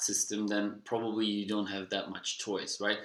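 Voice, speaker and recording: A man with a Dutch accent speaks at a fairly low pitch in a monotone, flat intonation. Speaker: personal development vlogger. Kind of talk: casual monologue.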